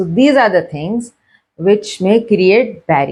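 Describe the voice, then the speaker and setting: A woman with a Karachi accent and a dark, mellow tone, speaking at a fairly slow pace against a quiet background. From Pakistan, Karachi. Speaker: educational video host. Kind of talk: lecture.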